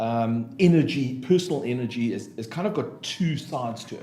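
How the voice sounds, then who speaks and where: Speaking with a South African accent, a man keeps a medium pitch with ordinary pitch variation at a fairly slow pace, amid audible room echo and noticeable background noise. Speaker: business consultant and motivational speaker. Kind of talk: podcast interview. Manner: hesitant, many fillers.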